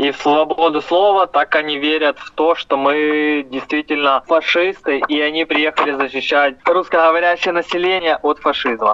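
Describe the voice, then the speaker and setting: A man talks at a moderate pace in a fairly high pitch with a bright, sharp tone. The sound is dry and close, with no echo. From Ukraine. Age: 20s. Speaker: volunteer, former prisoner of war. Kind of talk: interview testimony.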